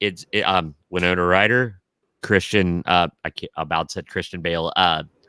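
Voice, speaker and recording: In a very clean recording with a silent background and a dry, close sound with no echo, a man with a fairly low pitch and a bright, sharp tone speaks at a moderate pace with a slight Southern Ohio accent. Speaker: podcast co-host. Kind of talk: casual chat.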